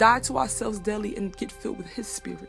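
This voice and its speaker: A woman talks at a fairly quick pace, with music playing in the background. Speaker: spoken word poet. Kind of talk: spoken word poetry performance.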